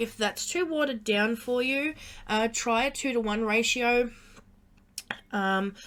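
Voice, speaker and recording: With a bright, sharp tone, a woman with an Australian accent speaks at a moderate pace with ordinary pitch variation. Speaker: craft tutorial youtuber. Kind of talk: tutorial. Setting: live stream. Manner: halting, many fillers.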